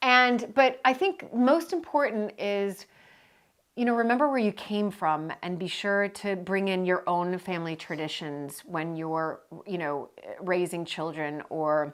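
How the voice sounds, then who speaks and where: A woman's animated, medium-pitched voice with an American accent, fairly slow pace and lively intonation, on a very clean recording with a silent background. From United States. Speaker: co-host of estate channel. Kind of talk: casual chat.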